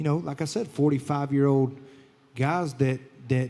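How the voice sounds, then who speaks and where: A man speaks in a Southern US accent. His intonation stays fairly even. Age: 30s. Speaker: country singer and show host. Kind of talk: casual chat.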